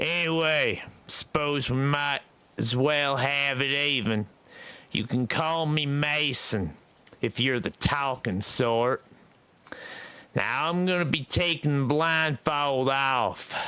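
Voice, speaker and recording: A put-on character voice comes out gruff and growling at a very even loudness. It moves at a fairly slow pace with long, frequent pauses, in a very clean recording with a silent background. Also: man, fairly high pitch for a man. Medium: read story. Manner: gruff, blunt.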